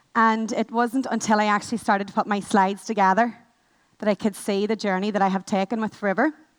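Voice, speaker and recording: This is a woman with a Northern Irish accent. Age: 20s. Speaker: network marketing manager. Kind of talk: motivational talk. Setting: stage with audience. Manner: fast.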